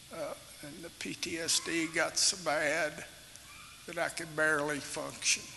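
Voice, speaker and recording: Through noticeable background noise, a man with a Kentucky accent speaks at a fairly slow pace. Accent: southern US (Kentucky). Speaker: retired police officer. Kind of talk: testimony. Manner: halting, with many fillers.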